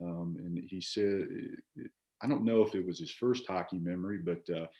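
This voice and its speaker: His pitch shifts by ordinary amounts. The man speaks neither fast nor slow. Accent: strong Virginia. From Virginia, Shenandoah Valley (Staunton). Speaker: former college baseball player. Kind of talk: casual chat. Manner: halting, many fillers and repeats.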